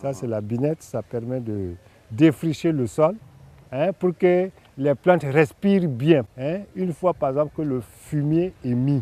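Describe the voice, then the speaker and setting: A man with a fairly high pitch and lively intonation, very slow pace, dry close sound without echo. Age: 60s. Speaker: gardener. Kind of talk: interview.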